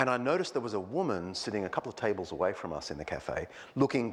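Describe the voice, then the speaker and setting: Pitch swings are very wide as a man talks with an Australian accent. His pitch sits in the medium range. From Australia, Sydney. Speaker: historian and clergyman. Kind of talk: public lecture. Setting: church with live audience. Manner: conversational with many fillers.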